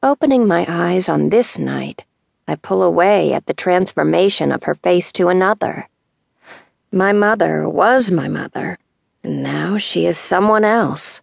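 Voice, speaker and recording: In a dry, close recording with no echo, a woman speaks in a dramatic tone at a fairly slow pace. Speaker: audiobook narrator. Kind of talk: dramatic memoir narration, first person, reading aloud. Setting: studio. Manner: measured, intimate, wistful storytelling with hushed tenderness; deliberate pacing with dramatic pauses.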